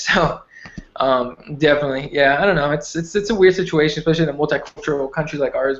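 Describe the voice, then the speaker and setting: Speaking very fast with a Spanish accent, a man uses a fairly high pitch and fairly even intonation. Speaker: MMA podcast co-host. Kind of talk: casual chat.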